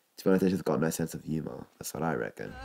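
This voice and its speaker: A man speaks with a very deep, low pitch and a dark, mellow tone. Vocal fry runs through it, with ordinary pitch variation. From Lebanon. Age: young. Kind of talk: interview answer. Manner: in-your-face.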